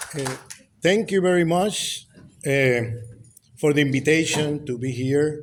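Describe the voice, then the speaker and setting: Over noticeable background noise and audible room echo, a man with a Puerto Rican accent speaks at a fairly high pitch with ordinary variation, at a fairly slow pace with long, frequent pauses. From Puerto Rico. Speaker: professor. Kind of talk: lecture. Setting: lecture hall with audience. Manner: halting.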